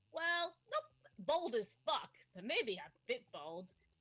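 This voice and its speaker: A put-on character voice at a fairly slow pace. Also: woman, high pitch for a woman. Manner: humorous, wry.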